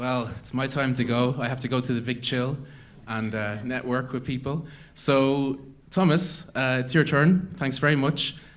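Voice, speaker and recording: Someone with an Irish accent speaks at a moderate pace with ordinary pitch variation amid audible room echo. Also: man. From Ireland. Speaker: event host, startup network founder. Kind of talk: conference announcements.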